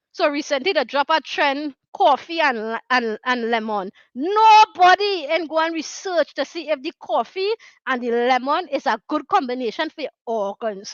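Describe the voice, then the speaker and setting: Pitched high, a woman with a Trinidadian accent speaks at a moderate pace with very wide pitch swings. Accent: Trinidad and Tobago Creole English. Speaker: talk show host. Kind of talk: casual talk show monologue. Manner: earnest, conversational.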